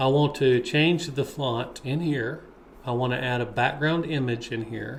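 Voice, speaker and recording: A man talks at a fairly slow pace and a medium pitch, with vocal fry. His intonation stays fairly even. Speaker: web developer. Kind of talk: screen-share tutorial.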